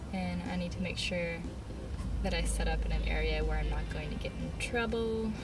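A woman speaks at a fairly slow pace with music in the background. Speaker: artist vlogger. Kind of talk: casual vlog chat. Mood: cheerful, laughing. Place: car. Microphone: phone near.

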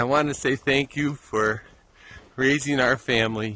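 Speaking at a very slow pace, a man uses ordinary pitch variation in a dry recording with no echo. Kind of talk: casual vlog chat. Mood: warm, cheerful. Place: street. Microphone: phone near.

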